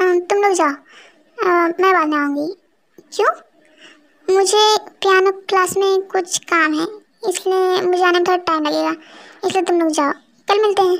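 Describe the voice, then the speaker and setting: Using a put-on character voice, a woman speaks at an extremely high pitch with fairly even intonation and long, frequent pauses. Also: moderate pace. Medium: fan dub. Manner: soft, polite.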